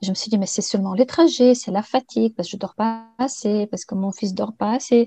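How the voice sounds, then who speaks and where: With a Bulgarian accent, a woman speaks at a fairly high pitch in a dark, mellow, somewhat breathy tone, recorded dry and close with no echo. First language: Bulgarian (speaking French). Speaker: interview guest sharing life story. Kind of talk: personal testimony interview.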